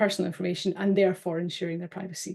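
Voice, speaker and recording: Somewhat breathy and dark, mellow in tone, a woman speaks at a very fast pace in a monotone, flat intonation. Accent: British. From UK. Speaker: data protection officer. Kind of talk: webinar presentation. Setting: online webinar. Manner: hesitant, with fillers and repeats.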